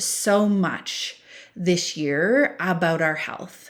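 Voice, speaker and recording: This clip is very clean, its background silent. The voice belongs to a woman. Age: 50s. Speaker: podcast host. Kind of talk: podcast monologue.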